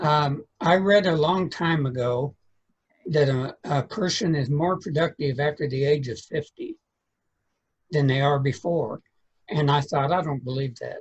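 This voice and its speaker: Speaking at a fairly slow pace, a man with a fairly high voice sounds somewhat breathy. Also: ordinary pitch variation. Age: 70s. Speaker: author and literary strategist. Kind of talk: interview.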